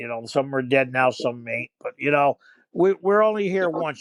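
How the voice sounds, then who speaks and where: Over a quiet background, a man talks at a very fast pace with lively intonation. The sound is dry and close, with no echo. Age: 70s. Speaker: podcast co-host. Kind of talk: casual chat. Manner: animated.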